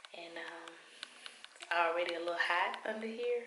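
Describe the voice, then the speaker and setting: A woman speaks at a moderate pace with medium pitch and ordinary pitch variation. Noticeable background noise and audible room echo accompany her voice. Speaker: vlogger. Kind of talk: casual vlog.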